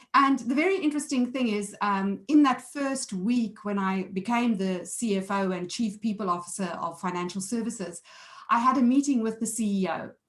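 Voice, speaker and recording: A woman with a fairly high, somewhat breathy voice talks at a moderate pace, varying her pitch in an ordinary way. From South Africa. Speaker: board director and entrepreneur. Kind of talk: conference presentation.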